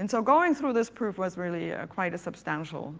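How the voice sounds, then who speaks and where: A woman with vocal fry speaks at a moderate pace, her pitch swinging very widely. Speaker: computer science professor. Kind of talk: audience Q&A answers; conference keynote lecture. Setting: conference stage with audience. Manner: clear, lyrical. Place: hall.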